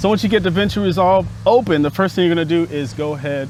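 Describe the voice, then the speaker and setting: At a very fast pace and in an animated tone, the speaker shows ordinary pitch variation over noticeable background noise. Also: man. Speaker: filmmaking YouTuber. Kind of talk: tutorial. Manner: casual, animated; loud.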